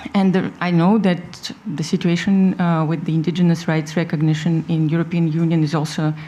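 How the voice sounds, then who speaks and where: With noticeable background noise behind her, a woman pitched fairly low talks at a moderate speed, her intonation fairly even. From Russia. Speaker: community activist, media head. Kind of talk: panel discussion.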